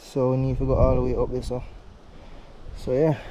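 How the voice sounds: At a moderate pace, a man speaks at medium pitch in a dark, mellow tone with little pitch movement.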